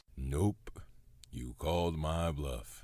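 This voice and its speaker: A man puts on a character voice, very deep and low in pitch, with ordinary pitch variation. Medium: audio drama. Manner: sarcastic, deadpan.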